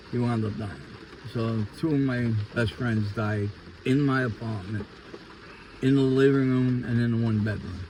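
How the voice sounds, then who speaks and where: Amid noticeable background noise, a man with a New York accent talks at a moderate pace with ordinary pitch variation and long, frequent pauses. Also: medium pitch for a man. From New York City, Queens (Ridgewood). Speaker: interviewee giving life testimony. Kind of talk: testimony.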